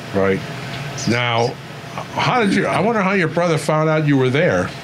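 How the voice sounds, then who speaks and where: A man at a moderate pace, fairly high in pitch, with very wide pitch swings, very even loudness and noticeable background noise. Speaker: interviewer. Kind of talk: interviewer questions.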